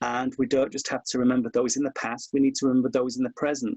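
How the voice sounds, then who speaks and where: A man with a Hull accent talks very fast at a fairly high pitch with ordinary pitch variation, recorded dry and close with no echo. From Hull, East Yorkshire, England. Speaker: historian. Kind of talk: webinar conversation. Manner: impassioned.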